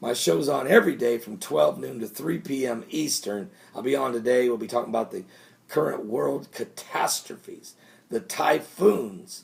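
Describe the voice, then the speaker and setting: A man's put-on character voice, raspy and medium-pitched, at a moderate pace. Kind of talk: evangelical preaching. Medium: solo performance. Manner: excited, rambling, repeating himself.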